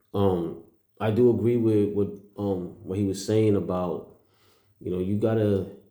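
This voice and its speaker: A man speaks at a fairly low pitch in a dark, mellow tone, his intonation fairly even, with audible room echo around him. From New York City, Puerto Rican heritage. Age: 40s. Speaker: vlogger. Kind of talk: casual monologue. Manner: hesitant, many fillers.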